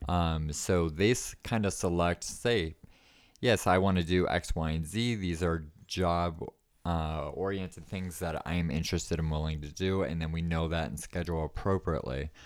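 A man speaks at a moderate pace with an American accent. His very deep, low pitch comes through on a very clean recording with a silent background. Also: fairly even intonation. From US East Coast. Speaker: small business owner and military veteran. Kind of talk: casual interview. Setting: studio.

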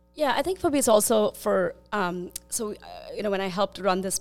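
A woman's medium-pitched voice with lively intonation at a moderate pace, music playing in the background. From India. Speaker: tech executive and nonprofit leader. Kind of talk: panel discussion.

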